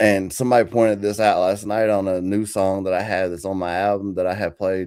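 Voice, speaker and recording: A man with an American accent speaks at a fairly low pitch and a moderate pace. His tone is dark and mellow, with fairly even intonation. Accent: country twang. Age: 40s. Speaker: country rapper. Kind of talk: interview. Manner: halting.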